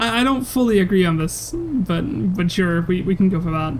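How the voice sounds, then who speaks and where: Lively intonation in a medium-pitched female voice, with noticeable background noise behind it. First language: not English. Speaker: gaming streamer. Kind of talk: live gameplay commentary. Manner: halting, stumbling over words.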